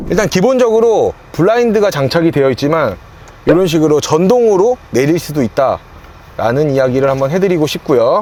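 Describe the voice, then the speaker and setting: A man speaks with a high pitch, very wide pitch swings and a dark, mellow tone. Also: very even loudness. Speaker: car leasing salesperson and video host. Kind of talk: car review walkthrough. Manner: fast.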